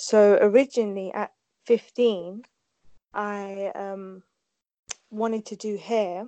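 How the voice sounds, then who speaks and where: A woman talks at a very slow pace in a monotone, flat intonation. Her speech has long, frequent pauses. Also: medium pitch for a woman. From Kurdistan, raised in UK from childhood. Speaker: hairdresser, mother. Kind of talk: casual interview chat.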